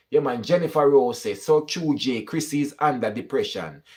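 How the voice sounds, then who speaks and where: An animated voice speaks at a moderate pace in a Jamaican accent, with vocal fry. The recording is very clean, with a silent background. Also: man. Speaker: YouTube commentator. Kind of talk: live stream chat reading comments.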